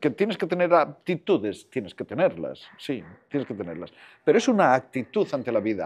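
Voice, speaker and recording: A man with a fairly high pitch and vocal fry speaks at a fairly quick pace, his pitch swinging very widely. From Costa da Morte, Galicia; raised in A Coruña; Galicia. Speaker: film director, screenwriter and voice actor; voice actor. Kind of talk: casual interview chat. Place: hall. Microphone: lapel.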